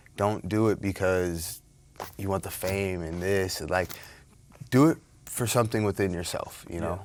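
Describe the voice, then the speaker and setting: In a very clean recording with a silent background, a man with a very deep, low pitch and ordinary pitch variation talks at a moderate pace, leaving long, frequent pauses. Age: 30s. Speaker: professional mixed martial arts fighter. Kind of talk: interview. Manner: casual.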